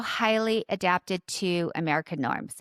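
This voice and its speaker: A woman speaks with a Southern California accent. The sound is dry and close with no echo, on a very clean recording with a silent background. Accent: valley girl. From Orange County, Southern California. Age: 50s. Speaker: podcast host and leadership coach. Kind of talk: personal monologue. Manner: conversational.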